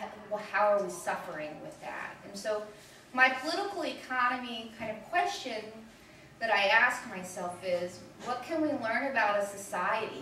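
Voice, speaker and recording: Against noticeable background noise and audible room echo, a woman speaks fairly slowly at a fairly high pitch. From Delaware, Chesapeake Bay family. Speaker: activist lecturer. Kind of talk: lecture.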